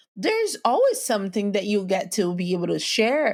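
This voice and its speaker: A woman speaks with a non-native accent at a moderate pace and lively intonation. Noticeable background noise sits behind her. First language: not English. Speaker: podcast host. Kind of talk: motivational talk. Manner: casual.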